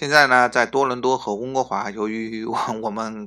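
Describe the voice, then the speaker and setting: Speaking at a fairly slow pace, a man has a medium pitch. His tone is bright and sharp, his intonation fairly even. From Northeast China. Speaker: podcast host at an immigration consultancy. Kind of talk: informational podcast monologue. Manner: hesitant, frequent filler sounds and repetitions.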